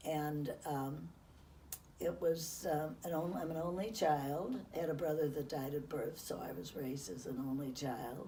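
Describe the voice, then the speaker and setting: Amid audible room echo and noticeable background noise, a woman with an American accent speaks at a fairly slow pace in a very deep, low pitch. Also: ordinary pitch variation. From US Midwest, Chicago outskirts. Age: 90s. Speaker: interviewee recounting her life. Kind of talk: life-story interview. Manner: halting.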